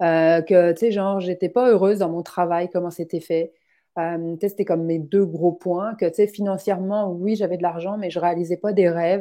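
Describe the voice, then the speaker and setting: Against a quiet background, a woman with a fairly low pitch and a dark, mellow tone talks at a moderate pace. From outside Quebec, immigrant. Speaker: finance coach. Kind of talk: casual interview chat. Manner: animated, many fillers.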